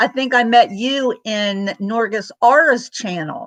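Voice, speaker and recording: A woman speaks loudly at a very slow pace, her high voice bright and sharp with lively intonation. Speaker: vlogger. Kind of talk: casual chat. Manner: keeping voice down.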